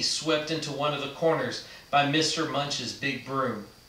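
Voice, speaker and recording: At a fairly slow pace, a man speaks with audible room echo around his voice. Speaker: reader of a book. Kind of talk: read-aloud storytelling. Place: studio.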